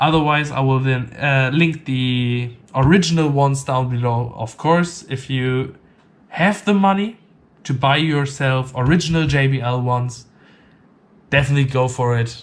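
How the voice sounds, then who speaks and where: In a non-native accent, a man talks at a moderate pace and medium pitch with ordinary pitch variation. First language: not English. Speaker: tech reviewer. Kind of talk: product review. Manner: halting, many fillers.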